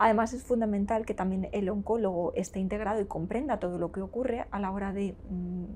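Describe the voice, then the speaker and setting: This is a normal speaking voice with fairly even intonation. It moves at a moderate pace. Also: woman. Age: 40s. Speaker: nurse and cancer patient. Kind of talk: interview answer.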